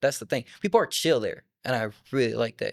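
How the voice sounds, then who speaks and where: A man at a moderate pace, with a dry, close sound and no echo. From southern France. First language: French. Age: young. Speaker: hip-hop artist. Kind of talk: interview. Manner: casual.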